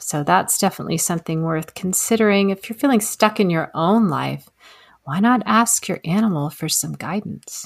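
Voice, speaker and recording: In a very clean recording with a silent background, a woman with an American accent and a normal speaking voice talks at a moderate pace, her medium pitch varying in an ordinary way. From Texas. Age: 50s. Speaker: animal communicator. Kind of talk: interview conversation.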